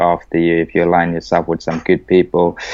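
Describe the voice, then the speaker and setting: A man with a South African accent. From South Africa (Cape Town). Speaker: rugby coach. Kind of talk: podcast interview.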